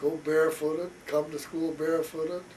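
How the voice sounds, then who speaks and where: With a Midwestern US accent, the speaker goes at a fairly slow pace over noticeable background noise. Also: man. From rural Iowa, Carroll area. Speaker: father interviewed about his life. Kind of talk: family oral history interview. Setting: at home.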